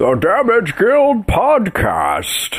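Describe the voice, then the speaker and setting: A raspy, fairly high-pitched put-on character voice. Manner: announcer-style, theatrical.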